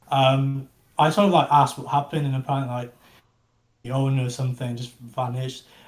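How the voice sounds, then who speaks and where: A man of medium pitch speaks at a fairly quick pace with an English accent. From England. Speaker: NFT project founder. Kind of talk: casual interview. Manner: halting, many fillers.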